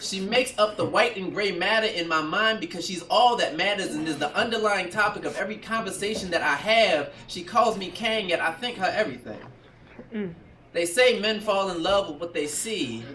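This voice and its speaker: With light background noise and audible room echo, a man speaks in a raised, projected voice at a fairly quick pace with ordinary pitch variation. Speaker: spoken-word poet. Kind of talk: spoken-word poetry performance. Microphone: camera far.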